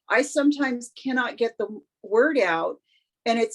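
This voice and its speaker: A woman talks with ordinary pitch variation. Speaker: service dog handler. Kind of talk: group chat. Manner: halting, pauses to find words.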